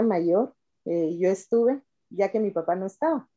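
A woman talks at a medium pitch with a dark, mellow tone. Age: 50s. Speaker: schoolteacher and mother sharing birth stories. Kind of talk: interview testimony.

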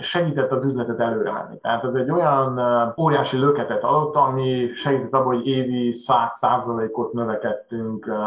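The room echo is audible as a man talks. His pitch is medium and his intonation fairly even. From Hungary, Budapest. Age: 40s. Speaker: machine shop owner. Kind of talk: interview. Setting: video call.

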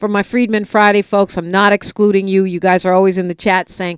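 An unremarkable speaking voice with an American accent at a fairly quick pace, dry and close with no echo on a very clean recording with a silent background. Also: woman. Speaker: radio talk show host. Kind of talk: radio interview. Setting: studio.

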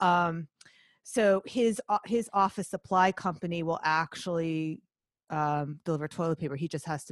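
Speaking at a moderate pace, a woman has a very deep, low pitch against a quiet background. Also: dry, close sound with no echo. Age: 50s. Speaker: artist and former finance worker. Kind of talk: interview.

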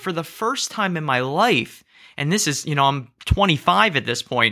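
A man speaks with a New Jersey accent at a moderate pace. His tone is bright and sharp, with ordinary pitch variation. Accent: American, New Jersey. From US, southern New Jersey. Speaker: rabbi. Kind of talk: interview conversation.

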